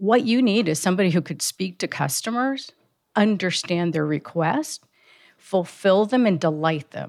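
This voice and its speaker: A woman with a plain, everyday voice speaks at a medium pitch and a moderate pace. Her intonation is lively, and the recording is very clean with a silent background. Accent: American. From US, Cuban American family, emigrated from Cuba at two. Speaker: technology executive. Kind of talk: interview.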